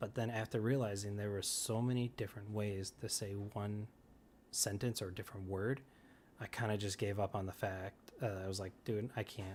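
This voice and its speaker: A man with fairly low pitch and a somewhat breathy voice speaks in a monotone, flat intonation at a moderate pace on a very clean recording with a silent background. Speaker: video game streamer. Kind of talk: live stream chat answering viewer questions. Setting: live stream. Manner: halting, stuttering.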